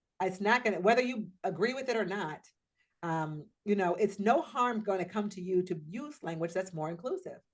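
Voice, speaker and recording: A woman with an American accent has an unremarkable speaking voice at a medium pitch. She talks at a fairly quick pace with ordinary pitch variation. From US Pacific Northwest. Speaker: diversity trainer. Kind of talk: workshop training. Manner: conversational.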